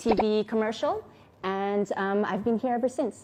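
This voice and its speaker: The woman here keeps a fairly even intonation at a moderate pace. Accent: Oklahoma. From US, Enid, Oklahoma. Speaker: vlogger, model and TV actress. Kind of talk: personal testimony vlog. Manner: casual, hesitant with fillers.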